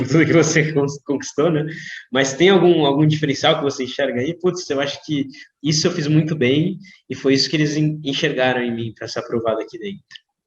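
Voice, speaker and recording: Somewhat breathy, a man with a Brazilian accent talks at a fairly quick pace with ordinary pitch variation. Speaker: doctor and interview host. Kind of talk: interview.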